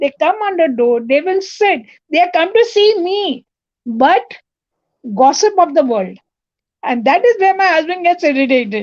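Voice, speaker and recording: Her voice is extremely high, with very wide pitch swings. The woman leaves long, frequent pauses. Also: moderate pace. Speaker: participant in online group session. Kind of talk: casual chat.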